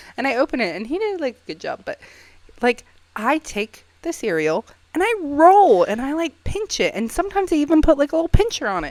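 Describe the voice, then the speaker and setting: Quiet yet animated, a woman speaks at a fairly quick pace and a high pitch, with very wide pitch swings, big swings in loudness, and a dry, close sound with no echo. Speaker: podcast co-host. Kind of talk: casual chat. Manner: speaking quietly.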